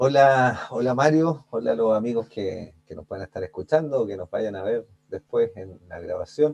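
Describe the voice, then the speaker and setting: A man with an ordinary speaking voice talks at a moderate pace and medium pitch, with lively intonation and hardly any pauses. His loudness swings a lot, and the sound is dry and close with no echo. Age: 40s. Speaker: life coach. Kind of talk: interview.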